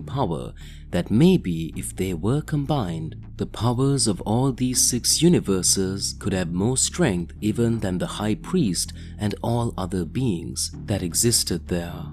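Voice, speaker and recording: Music plays in the background. The pitch swings very widely. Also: man. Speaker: story narrator. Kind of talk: storytelling narration, voicing characters' lines.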